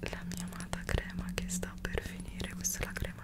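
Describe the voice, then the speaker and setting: Soft-spoken, a woman whispers. Her pace is fairly quick. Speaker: beauty content creator. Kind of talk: soft-spoken ASMR-style skincare tutorial. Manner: soft close-mic ASMR whisper. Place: home room.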